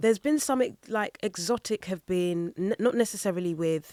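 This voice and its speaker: This woman's medium-pitched voice has lively intonation and a moderate pace, recorded with a dry, close sound and no echo. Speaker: singer and voice-over artist. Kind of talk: interview answer.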